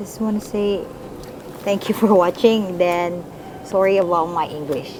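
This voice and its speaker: Noticeable background noise sits behind a woman speaking with a Cebuano accent. Her medium-pitched voice moves at a fairly slow pace with fairly even intonation. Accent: Filipino (Cebuano). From Philippines, Cebu province. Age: 20s. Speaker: school teacher. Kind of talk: casual interview. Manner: halting, hesitant.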